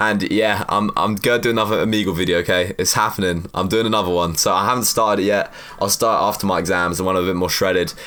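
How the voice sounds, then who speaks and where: A man talks at a very fast pace in an animated tone, with hardly any pauses and a fairly low pitch. His loudness stays very even, and there is noticeable background noise. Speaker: fitness youtuber; university student. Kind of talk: casual Q&A monologue.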